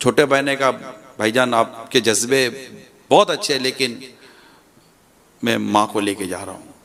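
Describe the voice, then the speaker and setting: With lively intonation, a man talks at a medium pitch in a normal speaking voice. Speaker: Islamic preacher giving a sermon. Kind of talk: religious sermon (bayan) telling a story.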